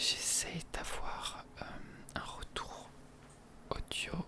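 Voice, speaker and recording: A whisper, very slow, against noticeable background noise. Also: man. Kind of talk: ASMR multi-trigger talk to camera. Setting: close to the microphone at home. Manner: soft-spoken, whispering.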